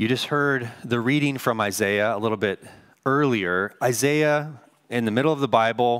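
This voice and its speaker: With an American accent, a man uses a normal speaking voice at medium pitch, lively intonation and a moderate pace, in a dry, close sound with no echo. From US Northwest. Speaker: pastor. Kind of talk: sermon. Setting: church.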